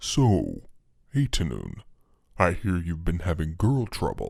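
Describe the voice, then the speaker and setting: Using a put-on character voice, a man speaks fairly slowly at a very deep, low pitch in a very clean recording with a silent background. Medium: read story. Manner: sly, smooth, mocking.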